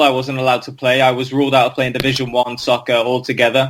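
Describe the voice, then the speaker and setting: A man with a medium-pitched voice talks at a very fast pace. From North Wales. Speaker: ex-professional footballer. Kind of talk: interview. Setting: podcast.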